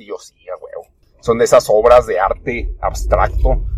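Recorded dry and close with no echo, a man talks at a fairly slow pace. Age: 30s. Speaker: podcast host. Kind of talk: casual monologue. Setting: in a car. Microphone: poor audio.

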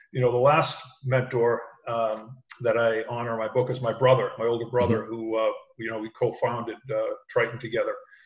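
Here a man speaks at a fairly quick pace in a somewhat breathy voice. His intonation is monotone and flat. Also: medium pitch for a man. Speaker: sales executive and call center manager. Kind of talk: casual interview chat. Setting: video call.

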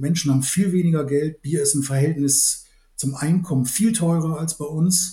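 A man's dark, mellow voice, fairly high in pitch, moves at a moderate pace with fairly even intonation. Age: 60s. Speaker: malting company executive and brewer. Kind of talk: expert interview.

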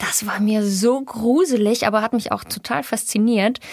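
This woman speaks with a fairly high pitch and fairly even intonation. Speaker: actress. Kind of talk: casual interview.

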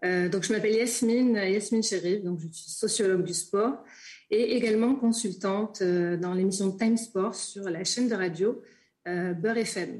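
At a fairly slow pace, a woman with a medium pitch and a somewhat breathy voice speaks with fairly even intonation and big swings in loudness against a quiet background. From Marseille. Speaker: sport sociologist. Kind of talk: interview. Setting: video call.

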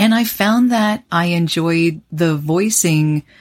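In an ordinary speaking voice, a woman with a fairly low pitch speaks with lively intonation on a very clean recording over a silent background. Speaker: voice actor. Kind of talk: interview conversation.

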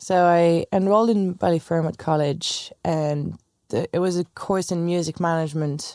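A woman speaks at a moderate pace with a fairly low pitch, fairly even intonation and a dark, mellow tone. The sound is dry and close with no echo, on a very clean recording with a silent background. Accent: French. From France. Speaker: tour manager. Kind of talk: casual interview chat.

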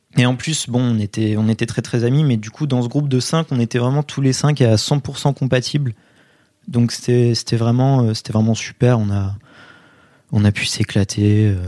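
Dry and close with no echo, a man's medium-pitched voice has a dark, mellow tone, fairly even intonation and a fairly slow pace. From France, Poitiers. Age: 20s. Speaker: history student. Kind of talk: interview testimony. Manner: hesitant with fillers.

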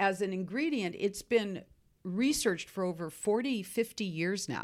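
A woman speaks in an unremarkable speaking voice with an American accent and medium pitch. Her intonation is lively on a very clean recording with a silent background. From US, Seattle. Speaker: skincare company founder. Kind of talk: interview answering listener questions.

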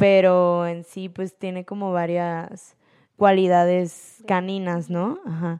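Over a quiet background, a woman speaks very slowly at a medium pitch in a dark, mellow tone. Her intonation is flat and monotone, while her loudness swings widely. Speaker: poet and street artist. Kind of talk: casual interview chat.

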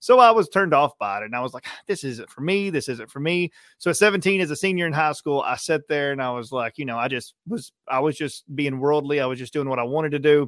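With a plain, everyday voice, a man talks fairly quickly at a fairly high pitch with lively intonation and hardly any pauses, in a very clean recording with a silent background and a dry, close sound with no echo. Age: 30s. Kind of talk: testimony.

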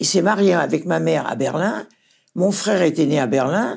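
Her voice is low for a woman, with vocal fry, lively intonation, a slightly mellow tone and a slightly husky edge, at a moderate pace.

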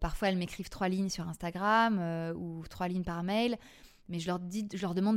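A woman speaks at a moderate pace with a fairly low pitch and fairly even intonation. The recording is very clean, with a silent background. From Paris, France. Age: 40s. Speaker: podcast creator and former TV casting director. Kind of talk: interview testimony. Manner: hesitant, many fillers and repetitions.

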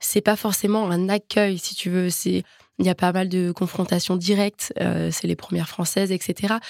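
A woman speaks at a fairly slow pace and medium pitch, with monotone, flat intonation. The sound is dry and close with no echo, on a very clean recording with a silent background. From France, Nantes. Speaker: athlete. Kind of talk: interview.

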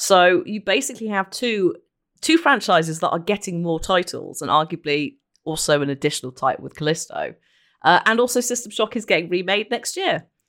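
A woman at medium pitch with a British accent, at a fairly quick pace with very wide pitch swings, on a very clean recording with a silent background. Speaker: podcast host and Twitch streamer.

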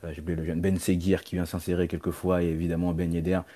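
A man speaks in a very deep, low pitch with a dark, mellow tone and monotone, flat intonation. The recording is very clean, with a silent background. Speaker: football podcaster. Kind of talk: casual chat. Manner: halting.

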